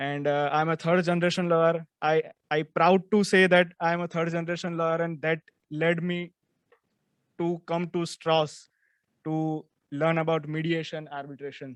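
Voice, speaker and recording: A man with a Gujarati accent talks at a moderate pace in a high pitch with monotone, flat intonation. The sound is dry and close with no echo. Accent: Indian English (Gujarati). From India, Gujarat. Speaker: lawyer and law student. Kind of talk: self-introduction.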